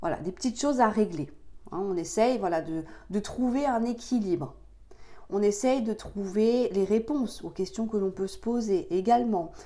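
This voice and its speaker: Her tone dark and mellow, a woman with a fairly high pitch speaks at a moderate pace with lively intonation. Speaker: tarot card reader. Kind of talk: tarot reading for viewers. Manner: hesitant, many fillers.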